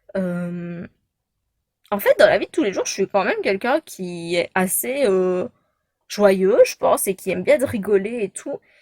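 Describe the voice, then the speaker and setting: A woman's medium-pitched voice with a Belgian accent, lively intonation and a fairly slow pace, on a very clean recording with a silent background and a dry, close sound with no echo. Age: 20s. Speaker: vlogger. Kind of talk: casual chat. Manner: hesitant, many fillers.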